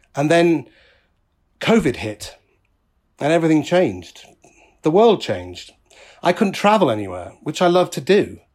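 With a British accent and a high pitch, a man speaks at a moderate pace with lively intonation and long, frequent pauses, on a very clean recording with a silent background. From UK. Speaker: podcaster. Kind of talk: personal monologue. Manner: occasionally halting.

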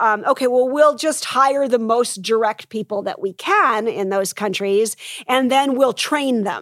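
A woman with an American accent and a plain, everyday voice speaks at a moderate pace and a fairly high pitch. Her intonation is lively, and the sound is dry and close with no echo. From United States. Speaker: business professor and author. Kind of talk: conference interview. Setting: live event venue.

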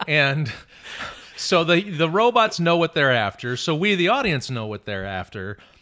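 A man speaks at a fairly high pitch and a moderate pace. His tone is animated, with very wide pitch swings. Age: 40s. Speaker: guest. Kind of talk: casual chat. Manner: animated, joking.

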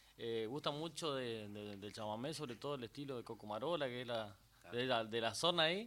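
A man speaks at a fairly quick pace with a bright, sharp tone, a medium pitch and ordinary pitch variation. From Corrientes province, Argentina (Itá Ibaté). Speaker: chamamé musician and TV host. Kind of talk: casual interview on live radio. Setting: radio studio.

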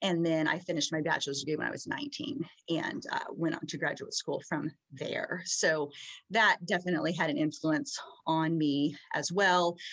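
Here, a woman talks with an ordinary speaking voice at a moderate pace. She has a fairly low pitch with ordinary pitch variation. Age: 40s. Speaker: author. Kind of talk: casual chat.

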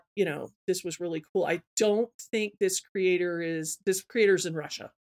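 In a dry, close recording with no echo, a woman with an American accent talks at a moderate pace, her medium pitch showing ordinary variation. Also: hardly any pauses. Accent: slight Southern US, hidden. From Georgia. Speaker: podcast host. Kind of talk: casual chat.

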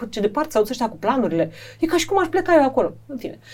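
A woman races along at a very fast pace, her high voice making very wide pitch swings. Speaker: journalist and TV presenter. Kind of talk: casual interview.

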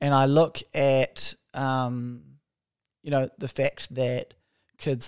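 The recording is dry and close, with no echo. A man speaks at a medium pitch in a New Zealand accent. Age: 20s. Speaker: podcast co-host. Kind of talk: casual chat. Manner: animated.

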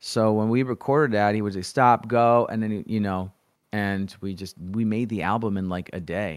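His voice is fairly low for a man. He keeps a moderate pace. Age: 40s. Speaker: freestyle rapper. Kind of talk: casual chat. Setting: video call. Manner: animated.

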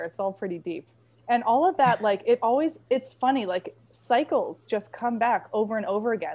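Lively in intonation, a woman with an American accent speaks at a moderate pace in a normal speaking voice. The background is quiet. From Maine, US. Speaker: women's empowerment coach and podcast host. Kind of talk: interview conversation.

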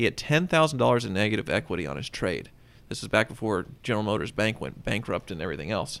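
A man with a Kansas accent and vocal fry talks at a very fast pace on a very clean recording with a silent background. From Kansas, Wichita. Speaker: car collector and automotive writer. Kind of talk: casual chat.

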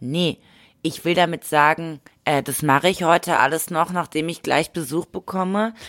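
This very clean recording has a silent background. A woman speaks at a moderate pace with fairly even intonation. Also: fairly low pitch for a woman. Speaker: podcast co-host. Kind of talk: casual chat. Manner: mumbling.

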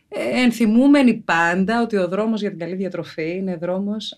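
Against a quiet background, a woman with an ordinary speaking voice talks at a fairly slow pace. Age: 40s. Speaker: podcast host. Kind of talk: casual chat.

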